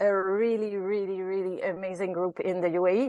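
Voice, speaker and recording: A woman speaks in a Quebec accent against a quiet background. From Quebec, Canada. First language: French. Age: 50s. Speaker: ultrarunner. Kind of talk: interview. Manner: halting.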